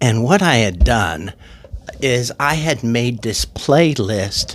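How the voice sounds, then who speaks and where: A man's medium-pitched voice carries vocal fry and lively intonation. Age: 60s. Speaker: YouTuber talking about music and mental health. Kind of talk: personal testimony monologue. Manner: halting, many fillers and restarts.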